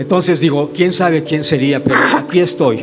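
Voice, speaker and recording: A man's fairly high-pitched voice is heard with music going in the background. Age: 70s. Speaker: pastor and church planter. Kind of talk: audience question and comment at a symposium.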